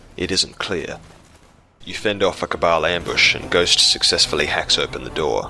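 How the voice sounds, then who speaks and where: Noticeable background noise is present throughout. A man talks at a moderate pace. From South Australia. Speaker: gaming video creator. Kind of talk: scripted narration.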